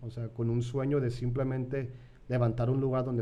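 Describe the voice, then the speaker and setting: Through audible room echo, a dark, mellow voice speaks fairly quickly in a monotone, flat intonation. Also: man. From San Diego, California, to Mexican parents. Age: 30s. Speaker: pastor. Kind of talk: podcast interview. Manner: casual, repetitive fillers.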